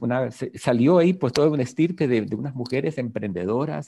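With vocal fry and a dark, mellow tone, a man speaks at a medium pitch and moderate pace, his intonation lively against a quiet background. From Ecuador, coast (Guayaquil). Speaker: ontological coach. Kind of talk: interview.

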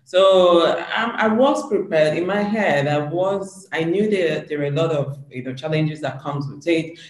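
Over noticeable background noise, a man with a high pitch talks with hardly any pauses. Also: ordinary pitch variation, moderate pace. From Nigeria, Anambra State (Igbo). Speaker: media entrepreneur and show host. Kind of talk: interview. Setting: video call.

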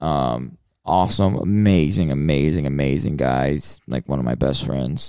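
A man with an American accent speaks at a fairly slow pace in a very deep, low voice, dark and mellow in tone, with ordinary pitch variation. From US South. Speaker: rapper. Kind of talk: casual interview.

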